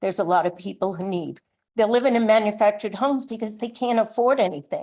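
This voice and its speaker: At a very fast pace, a woman speaks with a dark, mellow tone at a fairly high pitch and ordinary pitch variation. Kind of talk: public comment at meeting.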